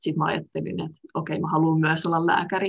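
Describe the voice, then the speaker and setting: A woman's fairly low, somewhat breathy voice at a moderate pace. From Finland, Tampere area. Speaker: medical student. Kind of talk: interview. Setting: video call.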